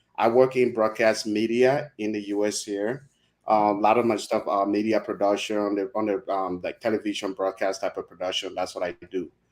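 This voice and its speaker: With a Liberian accent, a man speaks in a fairly low, monotone pitch with flat intonation at a moderate pace, hardly pausing, on a very clean recording with a silent background. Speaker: broadcast media specialist and Liberia-focused video creator. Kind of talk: casual interview chat on a livestream. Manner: halting, with many fillers and restarts.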